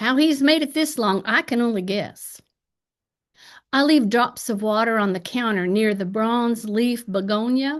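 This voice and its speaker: A woman speaks in an Appalachian accent with lively intonation. Her pitch is fairly high, and the background is quiet. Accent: Appalachian twang. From Appalachian Ohio. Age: 60s. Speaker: poet. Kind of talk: poetry reading.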